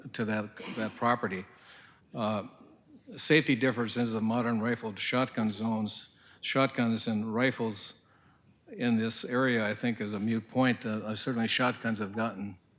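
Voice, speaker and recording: A medium-pitched man in a flat monotone at a moderate pace, with long, frequent pauses. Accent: Upper Midwest. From northern Minnesota. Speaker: hunter and landowner speaking at public forum. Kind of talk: public comment at county board meeting. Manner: halting, many fillers.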